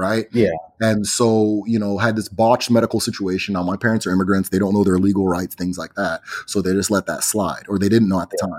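Delivered at a very fast pace, the man's speech has monotone, flat intonation. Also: fairly low pitch for a man. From Nigeria (Igbo, partly raised abroad). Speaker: teacher of Igbo spirituality and culture. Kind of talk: casual interview conversation. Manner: hesitant, many fillers.

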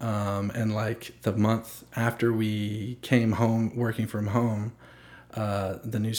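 Speaking at a very slow pace, a man with a fairly low pitch keeps a monotone, flat intonation. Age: 20s. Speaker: podcast host. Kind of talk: casual chat. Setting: home studio.

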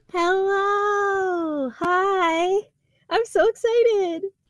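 A woman puts on a squeaky character voice at an extremely high pitch, speaking at a very slow pace. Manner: excited.

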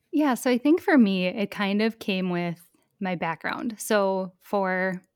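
A woman with an American accent speaks in a plain, everyday voice at medium pitch with ordinary pitch variation, the sound dry and close with no echo on a very clean recording with a silent background. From rural Minnesota. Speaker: online shop owner and educator. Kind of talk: podcast interview.

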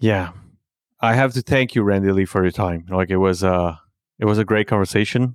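A man with a French accent talks fairly quickly in a fairly low pitch, with ordinary pitch variation and very even loudness. The recording is very clean with a silent background. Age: 40s. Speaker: podcast host. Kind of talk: casual interview. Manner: halting, many fillers.

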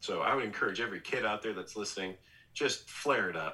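The pitch is medium and varies in an ordinary way. It is a man with a normal speaking voice. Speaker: former baseball pitcher, TV analyst. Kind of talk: casual interview chat.

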